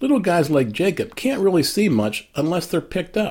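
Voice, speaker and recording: A man at a fairly quick pace, with a fairly high pitch and vocal fry. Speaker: inspirational blogger. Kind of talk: personal reflection monologue.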